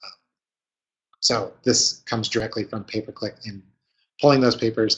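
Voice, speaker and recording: In a somewhat breathy voice at a medium pitch, a man speaks with monotone, flat intonation, big swings in loudness and long, frequent pauses. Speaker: marketing consultant presenter. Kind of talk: webinar presentation. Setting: online webinar. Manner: fast.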